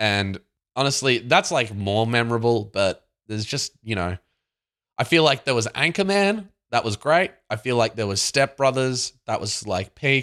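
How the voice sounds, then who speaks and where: An Australian accent from a man at a moderate pace, lively in intonation, with a dry, close sound free of echo on a very clean recording with a silent background. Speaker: podcast co-host. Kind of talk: casual chat.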